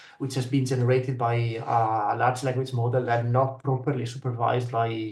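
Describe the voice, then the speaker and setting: A somewhat breathy voice with a non-native accent talks at a moderate pace. The intonation stays monotone and flat, and the room echo is audible. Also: man. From Italy. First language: Italian. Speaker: researcher. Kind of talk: panel discussion. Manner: hesitant, many fillers.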